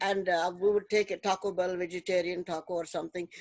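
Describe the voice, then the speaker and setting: In an Indian accent, a woman speaks at a moderate pace against a quiet background, with a dry sound that has no echo. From Delhi, India. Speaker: retired math teacher. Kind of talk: casual interview conversation. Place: home room. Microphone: video call.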